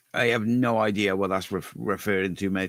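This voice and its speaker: A man with a very deep, low voice and vocal fry talks at a fairly quick pace. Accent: Cardiff. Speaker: fan channel live show host. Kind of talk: casual live stream chat. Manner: quiet.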